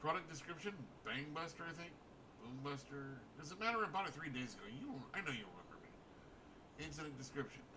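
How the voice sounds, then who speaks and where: A man does a whiny, put-on character voice at a fairly high pitch and a very fast pace, with long, frequent pauses. Loud background noise runs underneath. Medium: game stream. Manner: indignant, whiny.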